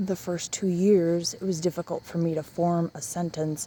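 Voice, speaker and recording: A woman's fairly low voice amid noticeable background noise. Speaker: vlogger. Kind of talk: casual vlog monologue. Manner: slow, halting.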